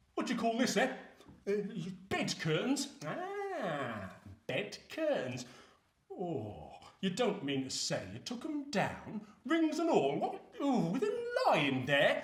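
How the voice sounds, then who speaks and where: Putting on a character voice at an extremely high pitch, a man speaks at a fairly slow pace with long, frequent pauses. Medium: short film. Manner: sly, chuckling.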